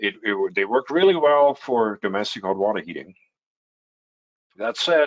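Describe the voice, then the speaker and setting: Pausing long and often, the speaker keeps a moderate pace with very wide pitch swings. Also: man, medium pitch for a man. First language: German. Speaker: heat pump company representative. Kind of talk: webinar Q&A answer. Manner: hesitant with many fillers.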